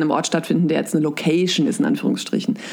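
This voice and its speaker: Background noise is clearly noticeable here. Over it comes a woman's voice. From central Hesse, Germany. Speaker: biology teacher and blogger. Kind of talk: casual interview. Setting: video call.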